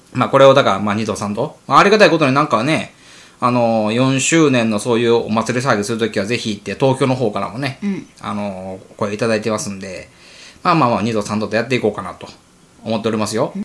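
Rushing at a very fast pace, a man talks with big swings in loudness and ordinary pitch variation. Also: medium pitch for a man. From Wakayama, Japan (Tanabe). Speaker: podcast co-host, food club leader. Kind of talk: casual chat.

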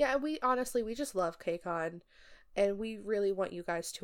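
An unremarkable speaking voice with lively intonation moves at a moderate pace on a very clean recording with a silent background. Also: woman. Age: 20s. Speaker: podcast co-host. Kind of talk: casual chat.

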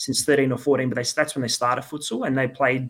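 A man's medium-pitched voice with an Australian accent on a very clean recording with a silent background. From Perth, Western Australia. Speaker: futsal head coach. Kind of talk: podcast interview.

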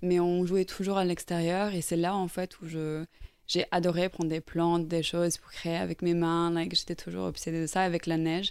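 A woman speaks at a moderate pace with a fairly low pitch and monotone, flat intonation. The recording is very clean, with a silent background. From Ireland, raised in Norway. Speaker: painter. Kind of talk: interview. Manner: hesitant.

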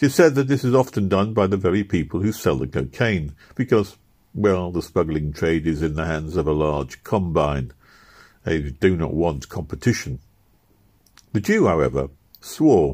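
Sounding amused, a man with a very deep, low voice and vocal fry speaks at a moderate pace with lively intonation. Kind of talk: literary audiobook reading, storytelling narration of a first-person memoir. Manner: measured, steady narrator's pace with dry wry humor and a lightly amused tone.

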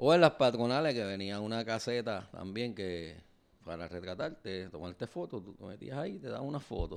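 A man's medium-pitched voice with a Puerto Rican accent and lively intonation. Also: moderate pace, big swings in loudness, very clean recording, silent background. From Puerto Rico. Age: 50s. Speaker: podcast co-host, teacher. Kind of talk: casual chat.

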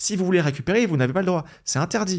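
A man's fairly high voice with lively intonation, an ordinary speaking voice, on a very clean recording with a silent background. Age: 40s. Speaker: investment blogger and author. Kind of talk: interview.

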